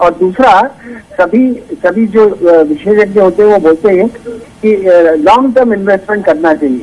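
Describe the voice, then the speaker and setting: A man's high-pitched voice with ordinary pitch variation, very even loudness, and noticeable background noise. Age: 60s. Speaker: retired caller. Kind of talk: phone-in question. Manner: halting.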